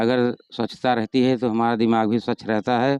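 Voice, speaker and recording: Dry and close with no echo, a man's dark, mellow voice sits at a medium pitch, delivered at a moderate pace in a monotone, flat intonation. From Uttar Pradesh, Sultanpur district. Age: 60s. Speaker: retired headmaster and folk singer. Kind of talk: interview.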